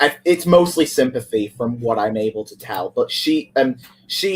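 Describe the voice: The words come as plain reading aloud. Someone simply reads the passage.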